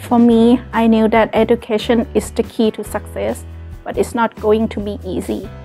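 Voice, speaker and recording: With faint music in the background, a woman speaks at a moderate pace with a Thai accent. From Thailand. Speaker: college student. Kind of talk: scripted personal story read. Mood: calm, earnest. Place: classroom. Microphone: lapel.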